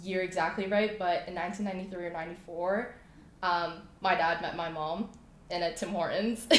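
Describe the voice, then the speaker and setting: A woman with a Canadian accent and medium pitch, fairly even intonation at a moderate pace, with audible room echo and noticeable background noise. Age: 20s. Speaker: clothing brand founder. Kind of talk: casual interview chat.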